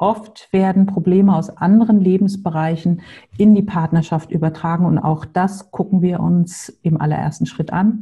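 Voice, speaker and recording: A woman speaks with a dark, mellow, somewhat breathy tone at a fairly low pitch. Her pace is moderate and her intonation fairly even. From Hamburg, northern Germany. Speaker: separation coach. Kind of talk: podcast interview.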